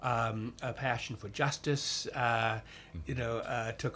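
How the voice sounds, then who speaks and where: A man with an American accent speaks at a medium pitch, showing vocal fry. His intonation stays fairly even. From US, western New York (Niagara Falls). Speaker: chaplain and priest. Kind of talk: interview. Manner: halting, many fillers.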